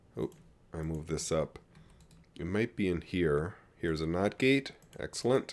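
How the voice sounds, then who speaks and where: Pitched very deep and low, a man speaks at a moderate pace with lively intonation and long, frequent pauses. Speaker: gaming video creator. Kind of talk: gameplay tutorial commentary. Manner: casual with fillers and self-corrections.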